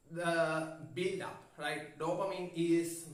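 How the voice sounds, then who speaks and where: In a room with audible echo, a man with a non-native accent speaks at a fairly high pitch. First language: not English. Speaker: self-help youtuber. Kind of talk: informal explainer monologue. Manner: halting, many fillers and restarts.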